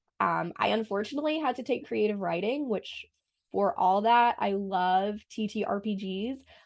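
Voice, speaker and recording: A woman speaks at a fairly high pitch with an American accent. Her pace is moderate. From US Northeast, Boston. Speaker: French teacher. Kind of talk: casual podcast interview.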